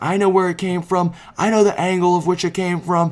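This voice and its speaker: In a put-on character voice, a man talks at a fairly quick pace with a high pitch and monotone, flat intonation. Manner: threatening.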